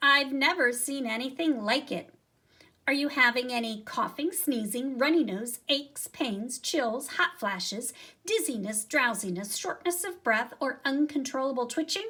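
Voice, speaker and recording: A woman's high-pitched, put-on character voice, mumbling at a moderate pace. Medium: read story. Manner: fussy, mumbling.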